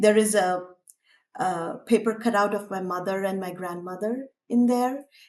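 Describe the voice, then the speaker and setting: A woman with a Tamil accent, medium-pitched, at a moderate pace and with fairly even intonation. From India, Tamil-speaking. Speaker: artist. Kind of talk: interview.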